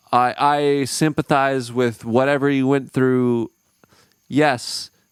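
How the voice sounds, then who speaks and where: A man with an American accent at a medium pitch, talking very slowly in a dry, close sound without echo. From Minnesota, US. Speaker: podcast host, touring musician. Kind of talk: casual chat. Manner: animated.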